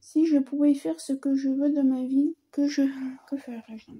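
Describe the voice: A woman with a high pitch and a slightly husky edge speaks at a slow pace.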